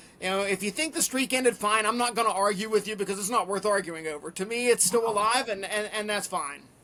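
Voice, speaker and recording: A man with a high pitch talks at a very fast pace in a raised, projected voice, with ordinary pitch variation. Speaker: race announcer. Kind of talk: podcast interview answer.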